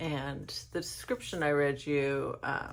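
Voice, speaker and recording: Very slow speech from a woman amid audible room echo. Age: 40s. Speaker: video journal vlogger. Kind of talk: casual monologue vlog.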